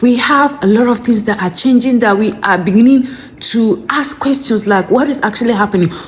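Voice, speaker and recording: A woman with a fairly high pitch, ordinary pitch variation, very even loudness and a fairly quick pace, over noticeable background noise. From Nigeria. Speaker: commentary video creator. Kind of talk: reaction commentary.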